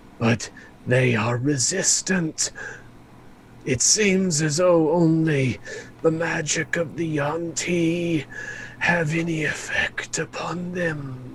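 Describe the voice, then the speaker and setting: A man speaks very slowly in a put-on character voice, fairly high in pitch with ordinary pitch variation. Long, frequent pauses break it up, and clear background noise runs underneath. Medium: actual play. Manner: measured, explanatory.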